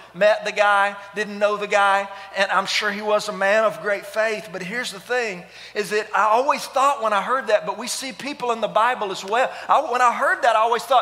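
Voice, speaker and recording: A man speaks in a raised, projected voice. His intonation stays fairly even. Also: moderate pace. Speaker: pastor. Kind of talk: sermon. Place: church. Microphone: headset.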